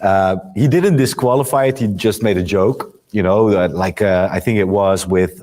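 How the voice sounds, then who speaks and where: A man with a fairly low pitch and a dark, mellow tone speaks at a moderate pace with ordinary pitch variation, very even loudness and hardly any pauses. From Netherlands. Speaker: interviewer. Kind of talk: interview. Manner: halting, many fillers.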